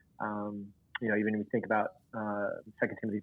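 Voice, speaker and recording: A man speaks with an Oklahoma accent in a monotone, flat intonation. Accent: Oklahoma Southern US. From US South, northeast Oklahoma. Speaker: church planter trainer. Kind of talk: casual interview.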